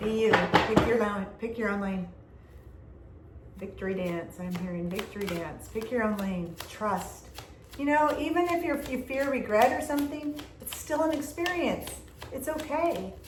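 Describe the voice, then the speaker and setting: A woman speaks loudly in an animated tone with very wide pitch swings, with audible room echo and noticeable background noise. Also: fairly high pitch for a woman, moderate pace. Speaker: tarot reader. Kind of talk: tarot reading. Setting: indoor room.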